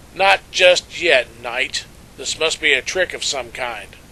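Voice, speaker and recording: A man uses a put-on character voice that is raspy and fairly high in pitch. He speaks at a fairly slow pace. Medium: read story. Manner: haughty, condescending.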